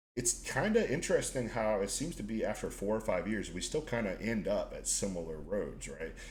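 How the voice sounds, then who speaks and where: There is audible room echo as a man talks at a fairly quick pace. He leaves hardly any pauses. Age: 20s. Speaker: podcast host. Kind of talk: casual chat.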